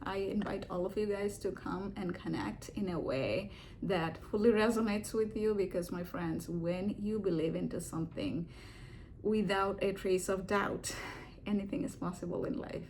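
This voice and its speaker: With an American accent, a woman speaks at a moderate pace and medium pitch. Her intonation is fairly even, and room echo is audible. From India. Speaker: video blogger and divorce support meetup organizer. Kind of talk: casual reflective vlog talk. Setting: home living room. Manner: hesitant, with many fillers.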